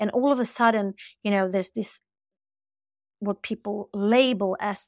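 Here a woman with a Swedish accent talks at a moderate pace and medium pitch. The recording is very clean, with a silent background. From Sweden. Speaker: spiritual teacher and coach. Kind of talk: interview conversation.

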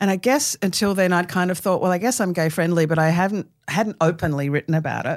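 On a very clean recording with a silent background, a woman with an Australian accent speaks at a fairly quick pace and fairly low pitch. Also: ordinary pitch variation, very even loudness. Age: 60s. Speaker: author and cartoonist. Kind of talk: casual interview chat.

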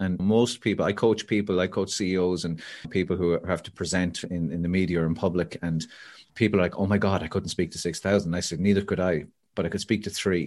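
A man with an Irish accent speaks at a very fast pace in a very deep, low pitch. The background is quiet. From Ireland. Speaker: motivational speaker and author. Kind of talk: casual interview. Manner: animated storyteller.

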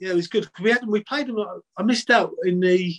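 This is a man speaking. He has a South London accent. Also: dry, close sound with no echo. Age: 50s. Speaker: former footballer. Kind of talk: casual chat.

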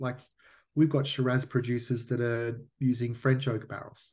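With an Australian accent, a man at medium pitch speaks in a monotone, flat intonation that is somewhat breathy. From Australia, Melbourne. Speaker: whisky distillery founder. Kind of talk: interview.

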